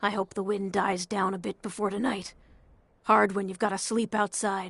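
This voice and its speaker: A woman does a put-on character voice, raspy and at a medium pitch. She speaks at a moderate pace in a flat monotone, with a dry, close sound and no echo. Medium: video game. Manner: pleading.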